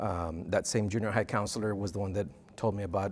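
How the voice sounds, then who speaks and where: With a Spanish accent, a man speaks at a fairly quick pace with ordinary pitch variation in a very clean recording with a silent background. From Texas–Mexico border (Rio Grande Valley). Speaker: university dean of students. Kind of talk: interview. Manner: halting, many fillers.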